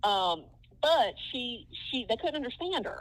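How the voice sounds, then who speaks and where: A woman with a Southern US accent speaks with lively intonation on a very clean recording with a silent background. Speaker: film historian. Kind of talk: podcast interview.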